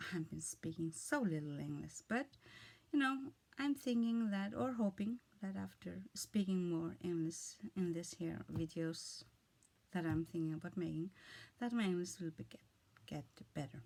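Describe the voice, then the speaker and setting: A woman with an Icelandic accent, a fairly low pitch, very wide pitch swings and long, frequent pauses. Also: moderate pace. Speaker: vlogger. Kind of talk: casual monologue. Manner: halting.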